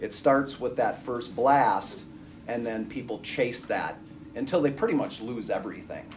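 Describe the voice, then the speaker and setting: The intonation is lively. Room echo is audible throughout. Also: man, medium pitch for a man, moderate pace. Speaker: addiction counselor. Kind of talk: lecture. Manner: loud.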